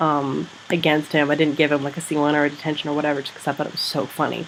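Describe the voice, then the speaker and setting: A woman speaks with a very deep, low pitch. There is noticeable background noise. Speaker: secondary school teacher and vlogger. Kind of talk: casual vlog. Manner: rambling, animated.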